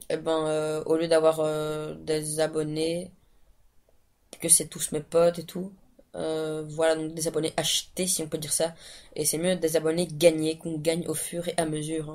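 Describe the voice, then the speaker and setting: Her intonation monotone and flat, a woman speaks at a fairly slow pace with a very deep, low pitch. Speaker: gaming video creator. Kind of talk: gameplay commentary. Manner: halting, many fillers.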